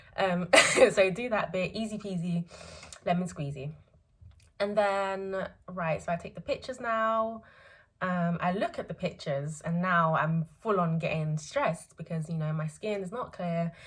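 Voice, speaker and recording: Her voice sits at a medium pitch and comes across somewhat breathy. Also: ordinary pitch variation, moderate pace, very clean recording, silent background. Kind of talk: casual talk to camera. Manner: hesitant, many filler words.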